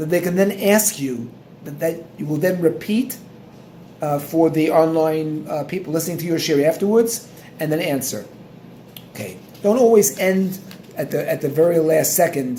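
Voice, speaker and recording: A man's fairly high voice at a moderate pace, with long, frequent pauses, ordinary pitch variation and noticeable background noise. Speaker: Torah teacher. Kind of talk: instructional talk. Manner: halting.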